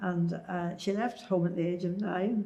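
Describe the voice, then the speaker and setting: In a Northern Irish accent, a woman speaks at a fairly slow pace and fairly low pitch. Her tone is dark and mellow, and somewhat breathy. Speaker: Second World War oral history witness. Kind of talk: interview answer. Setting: oral history interview.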